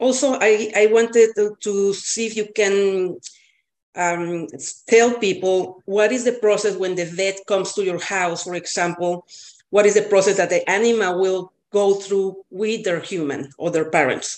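A woman speaks with a Spanish accent at a fairly slow pace. Her medium-pitched voice keeps a fairly even intonation. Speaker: cat boarder and co-host, student. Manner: self-conscious about accent, slightly hesitant.

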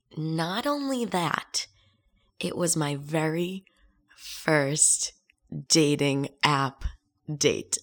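A woman speaks in a very deep, low voice with ordinary pitch variation. Her pace is very slow, with long, frequent pauses. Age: 20s. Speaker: podcast host. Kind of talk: casual solo monologue. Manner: chatty, laughs often.

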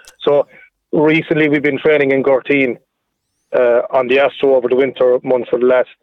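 In an Irish accent, a man speaks fairly quickly with monotone, flat intonation. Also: very even loudness. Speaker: football manager. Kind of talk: radio interview. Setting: phone call.

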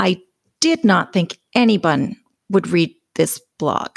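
A woman's voice with lively intonation, dry and close with no echo. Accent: western Canadian. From Alberta, Canada. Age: 50s. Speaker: sobriety podcaster and author. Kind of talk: interview.

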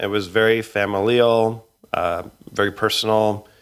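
On a very clean recording with a silent background, a man speaks with a western Canadian accent. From Canada (Edmonton, Alberta). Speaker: record label director. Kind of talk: casual interview.

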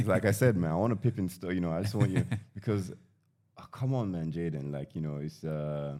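A man talks at a fairly quick pace. His pitch is very deep and low, with a dark, mellow tone. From Nigeria, British-educated. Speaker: guest, tech commentator. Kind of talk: casual chat.

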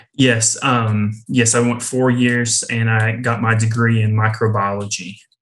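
Speaking at a fairly slow pace in an East Tennessee accent, a man with a medium pitch keeps a monotone, flat intonation and very even loudness, with hardly any pauses. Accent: Southern US (East Tennessee). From East Tennessee (near Knoxville). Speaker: campus ministry worker. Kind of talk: testimony. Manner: polite.

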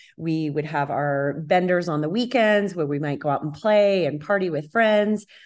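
Delivered at a moderate pace with hardly any pauses, the speech has a normal speaking voice and lively intonation. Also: woman, fairly low pitch for a woman. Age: 50s. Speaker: health and wellness coach. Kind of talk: personal testimony in interview.

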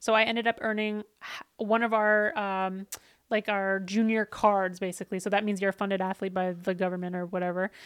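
A woman speaks at a fairly quick pace and medium pitch in a monotone, flat delivery, with a dry, close sound and no echo. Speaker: former snowboarder, CrossFit athlete and content creator. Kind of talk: casual interview. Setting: podcast set in a gym.

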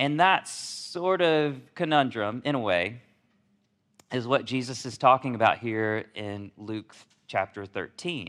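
A man with a medium pitch and a slight Southern US accent, speaking at a very slow pace. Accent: slight Southern drawl. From Alabama, US South. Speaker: pastor. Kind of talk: sermon.

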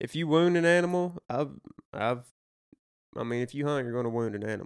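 A man with a Southern US accent, lively intonation, and a moderate pace, in a dry, close sound with no echo. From Arkansas. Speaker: hunter and outdoorsman. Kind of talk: casual chat.

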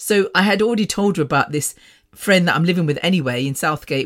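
A woman speaks on a very clean recording with a silent background. Her pitch varies in an ordinary way. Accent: English Midlands. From English Midlands. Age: 50s. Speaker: podcast host. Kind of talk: casual monologue. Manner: fast talker; animated.

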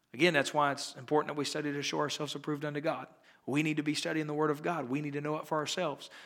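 Here a man speaks at a fairly high pitch. His tone is bright and sharp. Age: 30s. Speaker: pastor. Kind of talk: sermon.

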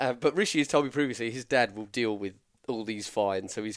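A man with an English accent at a very fast pace, medium pitch with ordinary variation, on a very clean recording with a silent background. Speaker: podcast co-host. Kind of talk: casual chat.

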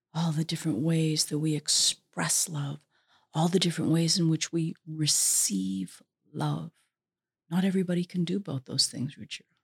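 Somewhat breathy and very deep, low-pitched, a woman talks at a moderate pace with lively intonation. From Vancouver, Canada. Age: 50s. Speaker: author and former hip hop manager. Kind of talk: interview.

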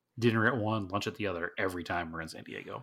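Bright and sharp in tone, a man with an American accent speaks at a fairly low pitch in a very clean recording with a silent background. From Massachusetts North Shore, Salem. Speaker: podcast co-host. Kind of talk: casual chat.

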